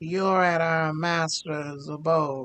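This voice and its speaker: A man puts on a character voice, pitched fairly high for a man and delivered in a flat monotone. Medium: actual play. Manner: formal, stiff.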